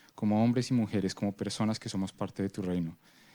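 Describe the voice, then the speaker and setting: Speaking at a very fast pace in a Spanish accent, a man with a fairly low pitch comes through on a very clean recording with a silent background. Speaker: prayer leader at a church conference. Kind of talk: prayer.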